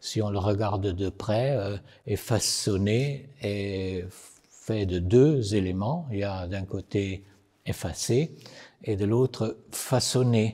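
A man with an Italian accent at a very slow pace, fairly low in pitch, dark and mellow in tone, with ordinary pitch variation against a quiet background. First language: Italian (speaking French). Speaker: poet and novelist; poet. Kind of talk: short filmed explanation. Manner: hesitant, many filler sounds. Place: studio.

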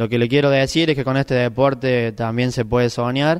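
The background is quiet as a man speaks. His intonation is fairly even and his pace moderate. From Argentina, Córdoba province (Sacanta); Córdoba province, Argentina. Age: 20s. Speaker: bocce world champion. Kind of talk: interview. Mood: grateful, calm. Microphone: handheld.

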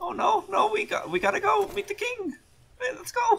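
An extremely high voice speaks at a moderate pace. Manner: fussy, excited, keeps saying "ooh".

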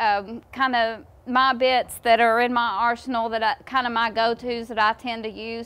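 A woman talks at a moderate pace. Her intonation is monotone and flat. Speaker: horse trainer. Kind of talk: casual explanatory talk. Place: farm machine.

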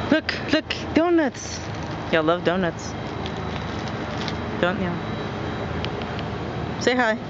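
Loud background noise surrounds a dry sound with no echo. A woman talks very slowly, pausing long and often. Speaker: vlogger filming friends. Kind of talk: casual vlog chat with friends. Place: shop. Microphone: phone near.

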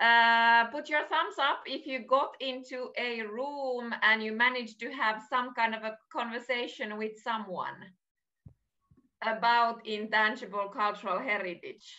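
Faint music plays behind a speaker with a Finnish accent who talks at a fairly slow pace. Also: woman. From Finland. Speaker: heritage agency advisor; workshop host. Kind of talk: online webinar presentation. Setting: video call. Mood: warm, cheerful. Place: home room. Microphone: video call.

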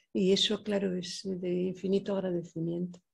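A woman talks at a moderate pace in a somewhat breathy voice. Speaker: poet. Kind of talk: panel discussion. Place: hall. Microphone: podium.

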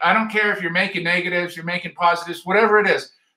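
A man's raised, projected voice, high-pitched, with an American accent, against a quiet background. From Utah (Ogden). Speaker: photography teacher and show host. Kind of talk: live-streamed tutorial. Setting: live video stream. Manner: animated.

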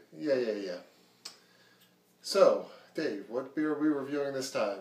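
Audible room echo surrounds a man whose fairly high voice moves with lively intonation at a fairly slow pace. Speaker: beer review show co-host. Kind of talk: casual chat. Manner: quiet, hushed talk. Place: home room. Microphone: camera far.

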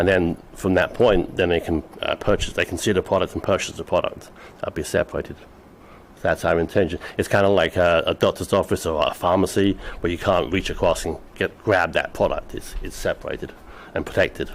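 With an English accent, a man delivers his words fairly quickly. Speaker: business applicant. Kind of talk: public meeting presentation. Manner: halting.

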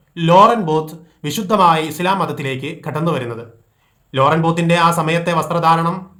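A high-pitched male voice, bright and sharp in tone, with ordinary pitch variation and audible room echo. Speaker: Islamic preacher. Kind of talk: religious talk. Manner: formal.

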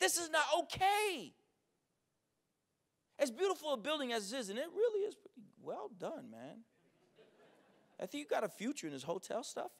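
A man speaks in an energetic tone at an extremely high pitch, with very wide pitch swings. His pace is moderate, broken by long, frequent pauses, against a quiet background. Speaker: educator and keynote speaker. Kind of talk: conference keynote speech to a live audience. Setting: live event with audience. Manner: charismatic, humorous, blunt, energetic. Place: hall. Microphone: handheld.

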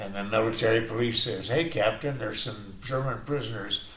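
Noticeable background noise under a man's medium voice, fairly slow in pace and ordinary in pitch variation. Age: 80s+. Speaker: war veteran. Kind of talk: personal war story told in interview.

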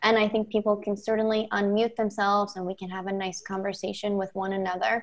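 Against a quiet background, a woman talks at a fairly quick pace. Her intonation is monotone and flat. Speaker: presenter. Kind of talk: presentation. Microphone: video call.

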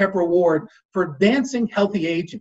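Over a quiet background, a man speaks at a high pitch. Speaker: master of ceremonies. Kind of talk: formal event hosting. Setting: video call. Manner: formal. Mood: warm, friendly. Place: home room. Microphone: webcam.

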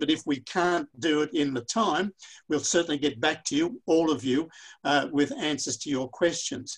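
A fairly high male voice with an Australian accent, at a moderate pace over a quiet background. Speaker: pharmacist and workshop facilitator. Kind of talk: webinar facilitation. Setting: online video conference. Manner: halting, many repetitions. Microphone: webcam.

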